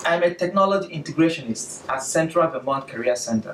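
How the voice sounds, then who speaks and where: With a Nigerian accent, a man speaks at a moderate pace in a fairly high voice. His intonation is lively. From southeastern Nigeria (Aba). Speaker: educational technology specialist and graduate student. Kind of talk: presentation.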